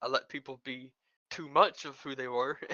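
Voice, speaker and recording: A man speaks in a Southern accent with a monotone, flat intonation. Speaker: former faction leader in an online game. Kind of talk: interview. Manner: halting, many repetitions and fillers.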